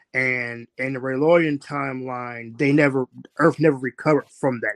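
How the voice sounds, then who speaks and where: An ordinary speaking voice from a man, medium-pitched with fairly even intonation, a moderate pace and a dry, close sound with no echo. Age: 30s. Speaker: author. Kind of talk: interview.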